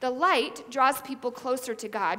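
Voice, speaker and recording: A woman speaks at a fairly slow pace in a raised, projected voice with a bright, sharp tone. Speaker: preacher. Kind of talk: sermon. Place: church. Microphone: headset.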